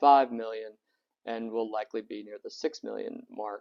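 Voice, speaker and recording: The man talks at a moderate pace in a dry, close sound with no echo. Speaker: city commissioner. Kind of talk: investigative commentary. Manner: hesitant, many fillers.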